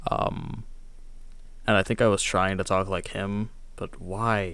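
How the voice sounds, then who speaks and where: A soft-spoken man talks at a fairly low pitch. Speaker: youtuber reacting to own old video. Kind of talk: casual commentary.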